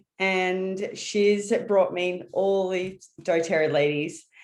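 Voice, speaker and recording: The speaker is a woman with an Australian accent. Her pitch is medium, with ordinary pitch variation. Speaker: branding strategist. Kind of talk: webinar presentation.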